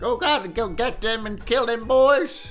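A put-on character voice with fairly high pitch and a fairly slow pace. Faint music plays behind it. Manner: bloodthirsty, urging on.

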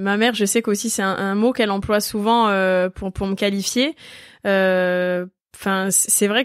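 In a very clean recording with a silent background, a woman uses a normal speaking voice at medium pitch with fairly even intonation. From Corsica (Ajaccio). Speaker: karate athlete. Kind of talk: interview.

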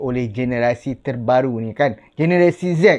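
A normal speaking voice from a man, fairly slow, with ordinary pitch variation over a quiet background. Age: 40s. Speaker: YouTuber. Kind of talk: casual vlog talk to camera.

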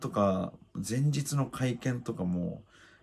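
A man is speaking. His intonation is lively. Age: 30s. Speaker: MMA fighter and YouTuber; fighter commenting on an event. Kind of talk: casual fight commentary monologue. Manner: hesitant with frequent fillers. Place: home room. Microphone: phone near.

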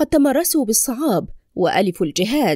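Recorded very cleanly against a silent background, with a dry, close sound and no echo, a woman speaks at a fairly slow pace in a dark, mellow tone, her pitch swinging very widely. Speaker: voice-over narrator. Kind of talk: audiobook reading of religious essay.

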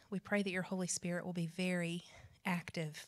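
Her intonation is monotone and flat. The woman speaks over a quiet background. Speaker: missions program leader. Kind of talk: prayer. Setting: stage with audience. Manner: formal. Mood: calm, earnest. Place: classroom. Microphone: handheld.

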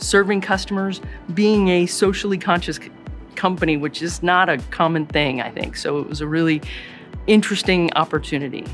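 Over faint music in the background, a woman talks at a fairly quick pace in a fairly low pitch with ordinary pitch variation. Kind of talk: interview answer. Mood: warm, positive. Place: office.

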